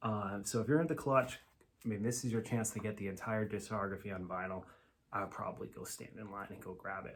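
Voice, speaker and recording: In an American accent, a man of fairly low pitch speaks at a fairly quick pace with ordinary pitch variation. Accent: Massachusetts accent, sometimes strong. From Massachusetts, US. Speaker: vinyl record YouTuber. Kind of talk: casual video review. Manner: casual, with fillers.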